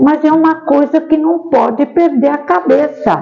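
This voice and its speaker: The speech moves at a fairly slow pace with very wide pitch swings. Noticeable background noise runs underneath. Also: woman. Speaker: spiritist seminar speaker. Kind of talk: seminar talk with audience discussion.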